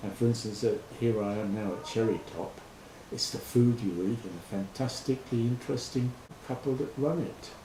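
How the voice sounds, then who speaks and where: A man at a moderate pace, ordinary pitch variation, and noticeable background noise behind him. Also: medium pitch for a man. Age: 70s. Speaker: farm volunteer. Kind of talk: interview answer.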